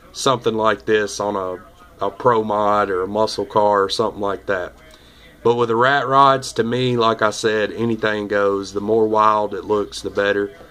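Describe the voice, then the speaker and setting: Music plays in the background as a man speaks in a flat monotone. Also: fairly low pitch for a man, moderate pace. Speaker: model car builder. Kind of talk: casual build update video. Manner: casual, relaxed.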